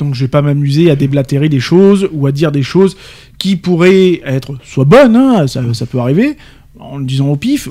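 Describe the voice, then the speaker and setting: Delivered at a fairly quick pace in a southern French accent, the speech has ordinary pitch variation. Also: man. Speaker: radio co-host. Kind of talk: live radio talk show.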